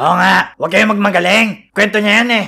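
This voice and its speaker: This is a cartoonish character voice. It is raised and projected. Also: man, high pitch for a man, moderate pace. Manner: teasing.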